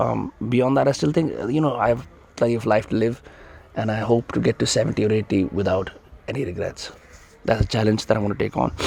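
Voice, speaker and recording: A man speaks at a very fast pace with fairly even intonation. Noticeable noise sits in the background. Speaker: podcast host. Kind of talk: casual Q&A monologue. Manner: hesitant, many fillers.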